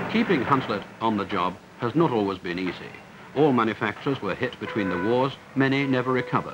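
A medium-pitched man with a British accent talks at a very fast pace with lively intonation, over noticeable background noise. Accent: British received pronunciation-style. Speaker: documentary narrator. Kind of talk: 1960s industrial documentary narration, polished and authoritative voiceover. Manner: formal, measured, crisp newsreel-style delivery.

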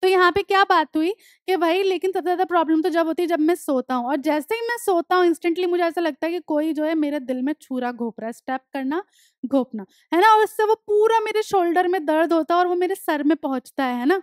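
A woman talks at a fairly quick pace with lively intonation and an extremely high pitch. The sound is dry with no echo, and the background is quiet. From India. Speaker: English teacher. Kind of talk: lecture. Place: studio. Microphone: headset.

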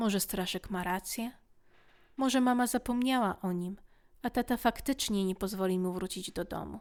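A woman at a medium pitch with ordinary pitch variation and a moderate pace, in a very clean recording with a silent background. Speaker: audiobook narrator. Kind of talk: bedtime story reading aloud. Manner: animated, changes voices for characters.

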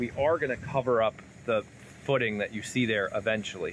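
A man talks at a moderate pace. His tone is fairly bright and his pitch medium.

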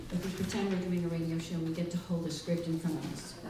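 There is noticeable background noise and audible room echo as a woman talks at a fairly quick pace. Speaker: library director. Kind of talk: live show introduction to audience. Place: hall.

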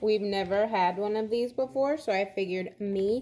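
A woman is speaking. Her pitch varies by an ordinary amount. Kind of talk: casual vlog chat. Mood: curious, excited. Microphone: phone near.

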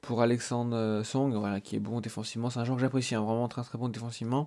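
Dark and mellow in tone, a man's voice stays monotone and flat. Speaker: gaming youtuber. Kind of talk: gameplay commentary. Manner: casual, hesitant with many fillers.

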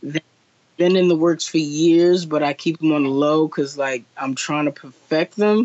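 In a plain, everyday voice, a man with an American accent speaks at a fairly high pitch and moderate pace with fairly even intonation over a quiet background. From New Jersey. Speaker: artist. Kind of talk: interview. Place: home room. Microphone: video call.

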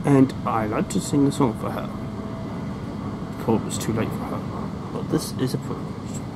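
A voice speaks at a moderate pace over loud background noise. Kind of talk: casual vlog chat. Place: train. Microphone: phone near.

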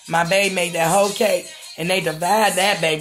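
The speech moves at a moderate pace while clear music plays in the background. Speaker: home cook vlogger. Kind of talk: casual vlog chat. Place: kitchen. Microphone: phone near.

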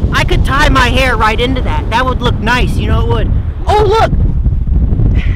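A man speaks at a fairly slow pace, his voice dry with no echo, over loud background noise. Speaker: comedian doing a mock weather report. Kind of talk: comedic mock weather report, stand-up style sketch. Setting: outdoors on a cold beach. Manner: laughs often, playful and excitable. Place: beach.

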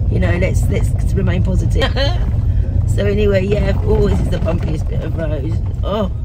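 Loud background noise behind a woman speaking at a moderate pace. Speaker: vlogger. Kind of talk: casual vlog chat. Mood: upbeat, recovering from flu. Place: car. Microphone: phone near.

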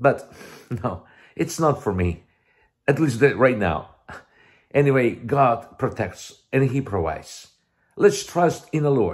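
A man with a Russian accent, vocal fry and very wide pitch swings, at a very slow pace with long, frequent pauses, over a quiet background. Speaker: missionary preacher. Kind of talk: video sermon and testimony. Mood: warm, smiling, earnest. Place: home room. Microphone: headset.

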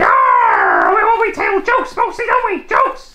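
An extremely high-pitched, put-on character voice. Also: moderate pace. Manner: excited, bubbly.

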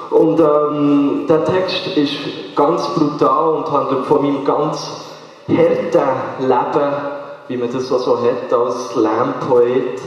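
In a room with strong echo but a quiet background, a man with a fairly high voice speaks very slowly and evenly, with long, frequent pauses. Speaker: slam poet. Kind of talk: casual talk to audience. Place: stage.

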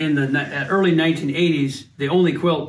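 Noticeable background noise surrounds a man with a fairly high voice. He speaks at a moderate pace with fairly even intonation. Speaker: family member showing his mother's quilting. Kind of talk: casual talk to camera. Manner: warm, fond. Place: home room. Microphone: phone near.

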